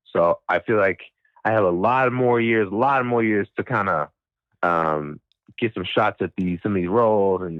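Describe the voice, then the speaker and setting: This man has a fairly low pitch and an American accent, talking at a moderate pace with ordinary pitch variation in a normal speaking voice. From US South (Mississippi). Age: 20s. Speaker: voice actor. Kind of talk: interview.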